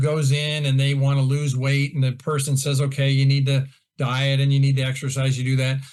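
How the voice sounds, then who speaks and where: At a fairly quick pace, a man talks in a fairly high, somewhat breathy voice. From Iowa, US Midwest. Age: 60s. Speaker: golf instructor. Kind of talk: casual chat.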